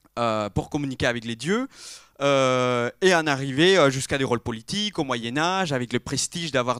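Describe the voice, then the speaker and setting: Lively in intonation and medium in pitch, a man talks at a moderate pace in a dry, close sound with no echo, on a very clean recording with a silent background. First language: not French (speaking French). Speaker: interior architecture graduate. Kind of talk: round table talk. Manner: halting, many fillers.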